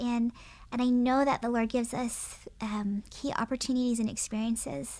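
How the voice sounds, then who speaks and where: A woman with an American accent speaks at a fairly quick pace and fairly high pitch, with ordinary pitch variation. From US, Japanese-American. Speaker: family lawyer and law professor. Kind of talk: podcast interview. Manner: earnest, reflective.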